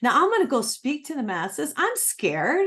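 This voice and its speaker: A woman speaks at a moderate pace in an animated tone, her pitch swinging very widely against a quiet background. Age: 60s. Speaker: psychic and author. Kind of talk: interview.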